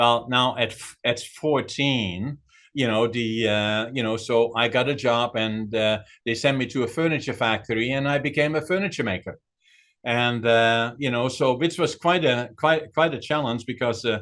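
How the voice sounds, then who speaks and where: A man speaks at a moderate pace and medium pitch with a Dutch accent and ordinary pitch variation. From Netherlands. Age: 80s+. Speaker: author and businessman. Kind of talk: interview. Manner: hesitant, many fillers.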